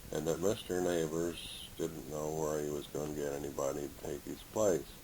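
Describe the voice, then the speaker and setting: A man's very deep, low voice at a moderate pace, in a monotone, flat intonation, with audible room echo. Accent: Midwestern American. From Indiana. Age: 70s. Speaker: retired teacher and coach. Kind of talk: oral history interview.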